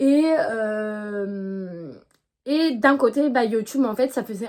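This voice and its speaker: A woman with a fairly high-pitched voice. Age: 20s. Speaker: equestrian YouTuber. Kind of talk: casual vlog monologue. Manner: hesitant, many fillers.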